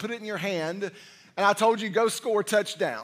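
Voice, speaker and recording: A man with a high pitch talks at a fairly quick pace, his intonation fairly even. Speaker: senior pastor. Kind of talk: sermon. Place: church.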